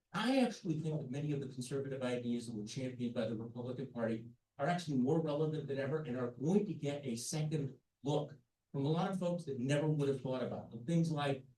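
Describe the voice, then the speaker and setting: Audible room echo surrounds a man speaking very fast. His voice is fairly high, with ordinary pitch variation. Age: 70s. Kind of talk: panel discussion. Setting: conference meeting. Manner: animated.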